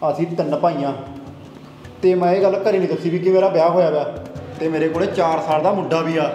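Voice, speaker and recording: A man's high-pitched, monotone, flat delivery, with audible room echo and light background noise. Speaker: comedy sketch actor. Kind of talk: scripted comedy sketch dialogue. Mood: worried, pleading. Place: home room.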